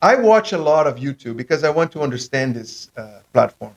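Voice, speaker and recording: A man is speaking. He has a non-native accent. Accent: foreign accent, non-native English. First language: not English. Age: 40s. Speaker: podcast host. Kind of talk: casual chat. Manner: halting, many fillers.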